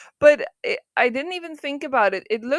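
Speaking at a moderate pace with a Dutch accent, the voice is animated with lively intonation, captured in a very clean, silent recording with a dry, close sound and no echo. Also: woman. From Netherlands, not Amsterdam. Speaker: solo podcast host. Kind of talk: casual monologue. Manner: animated, laughing often.

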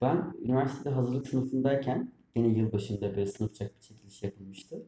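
Moderate pace, a dark, mellow tone, and a somewhat breathy quality. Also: man. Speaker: podcast co-host. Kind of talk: casual chat. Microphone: far from mic, quiet.

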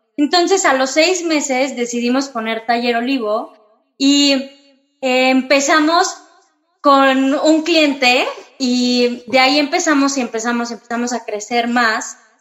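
A woman's high voice at a fairly slow pace with ordinary pitch variation. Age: 30s. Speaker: interior designer, floral design business co-owner. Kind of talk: casual interview.

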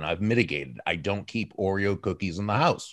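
In a very clean recording with a silent background, a man with a plain, everyday voice speaks at a fairly quick pace and a fairly low pitch. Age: 60s. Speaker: author and business speaker. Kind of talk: interview.

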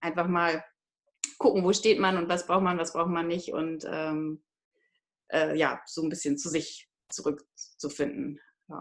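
A woman speaks at a fairly slow pace with a fairly low voice. Her pitch varies in an ordinary way, and she takes long, frequent pauses. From northern Germany, Hamburg. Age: 30s. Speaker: online course participant. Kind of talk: interview testimony. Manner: halting, many filler sounds.

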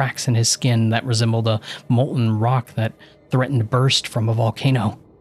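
Someone reads a text aloud. Their voice sounds natural.

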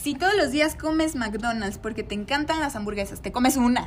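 A woman's high voice in a Mexican accent at a fairly quick pace, lively in intonation, with noticeable background noise. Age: 20s. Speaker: podcast co-host, nutrition student. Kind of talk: casual chat.

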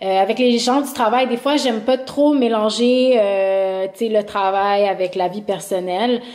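With hardly any pauses, a woman talks at a very slow pace in a fairly high voice with ordinary pitch variation. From Montreal. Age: 30s. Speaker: YouTuber. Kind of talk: casual chat. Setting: remote recording.

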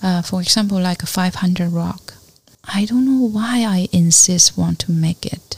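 Someone with a Chinese accent talks at a fairly slow pace with ordinary pitch variation. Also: woman, medium pitch for a woman. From China, Fujian (Fuding). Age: 50s. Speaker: artist and art educator. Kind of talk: interview conversation. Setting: artist's studio.

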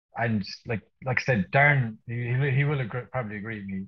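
A man speaks at a fairly quick pace with an Irish accent. His pitch is medium, with ordinary pitch variation. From Ireland. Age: 30s. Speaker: wedding photographer. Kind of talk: casual chat. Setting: video call. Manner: animated.

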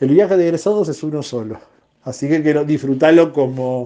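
Male speech in a dark, mellow tone, its pitch varying in an ordinary way. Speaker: writer. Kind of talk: interview. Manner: halting.

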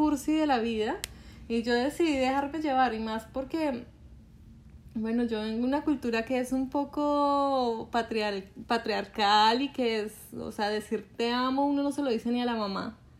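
Fairly even intonation in a woman's high-pitched speech. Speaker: podcast co-host. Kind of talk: casual chat.

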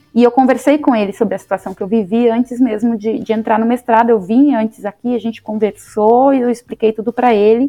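Her pitch fairly high, a woman speaks at a fairly quick pace with fairly even intonation. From Bahia, Vitória da Conquista. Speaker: astrophysicist and university lecturer. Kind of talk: interview.

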